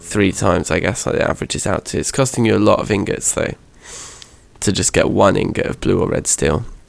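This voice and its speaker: Speaking fairly quickly, a man talks with a British accent. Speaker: gaming youtuber. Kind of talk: gameplay commentary. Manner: hesitant with fillers.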